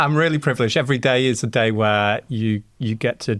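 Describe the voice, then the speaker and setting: A man speaks with a Yorkshire accent. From Yorkshire, northern England. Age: 40s. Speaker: sound engineer. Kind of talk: podcast interview.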